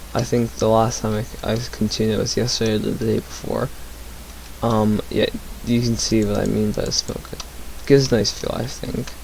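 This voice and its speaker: Quiet and mumbling, a man talks at a moderate pace over noticeable background noise. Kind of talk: casual gameplay commentary. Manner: quiet, mumbling; hesitant, many fillers.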